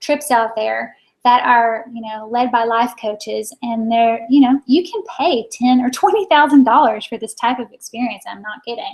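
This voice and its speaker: A woman talks at a moderate pace in a high voice. Her pitch varies in an ordinary way. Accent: American. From Maine, US. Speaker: business coach. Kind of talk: webinar presentation. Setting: online video broadcast.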